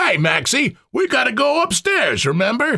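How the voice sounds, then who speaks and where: An extremely high-pitched, put-on character voice from a man, delivered at a moderate pace. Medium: read story. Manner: slow, blank.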